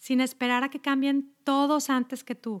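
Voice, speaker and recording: A woman's high-pitched voice, dry and close with no echo, on a very clean recording with a silent background. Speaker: health coach. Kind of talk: podcast monologue.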